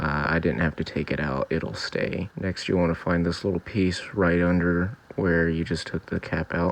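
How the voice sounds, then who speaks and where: At a moderate pace with hardly any pauses, a man speaks quietly in a very deep, low pitch with very even loudness, over noticeable background noise. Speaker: DIY car repair youtuber. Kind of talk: tutorial voiceover. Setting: recorded in bedroom. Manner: flat, subdued.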